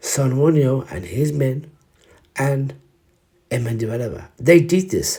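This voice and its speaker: Somewhat breathy, a man with a fairly high pitch and a dark, mellow tone speaks at a fairly slow pace with lively intonation. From Ireland. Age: 40s. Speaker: actor. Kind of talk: spoken history piece to camera. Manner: emotional, hesitant.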